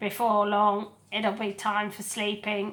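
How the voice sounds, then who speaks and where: Using a put-on character voice, a woman speaks croakily at a medium pitch, fairly slowly and in a flat monotone. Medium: read story.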